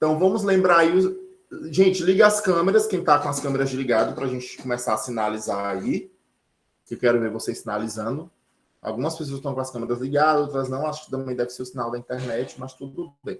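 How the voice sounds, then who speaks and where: An ordinary speaking voice from a man, fairly high in pitch, fairly quick, with lively intonation. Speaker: sign language teacher. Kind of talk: online lecture.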